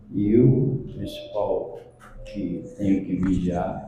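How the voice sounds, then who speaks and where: A man talks at a very slow pace with ordinary pitch variation. The room echo is audible, and there is noticeable background noise. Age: 70s. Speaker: spiritist lecturer. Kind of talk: lecture.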